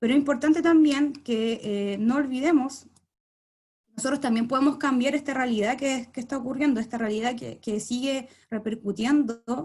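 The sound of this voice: A woman speaks at a high pitch. Her tone is slightly mellow. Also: ordinary pitch variation, moderate pace.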